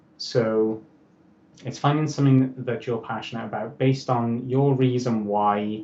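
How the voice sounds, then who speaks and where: A man with a Welsh accent speaks at a moderate pace and medium pitch, his dark, mellow tone carrying fairly even intonation. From Wales. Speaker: motivational speaker and author. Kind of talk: interview.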